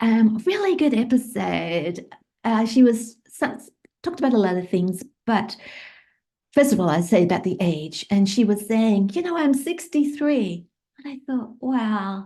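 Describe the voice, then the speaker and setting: A woman's fairly high, somewhat breathy voice with a dark, mellow tone, very wide pitch swings and a fairly slow pace. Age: 60s. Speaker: podcaster. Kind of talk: casual monologue.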